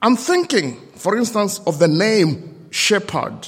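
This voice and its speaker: A man with a non-native accent talks at a high pitch. His pitch swings very widely. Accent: non-native accent, noticeable. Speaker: lay preacher. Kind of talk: sermon. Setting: church service with congregation.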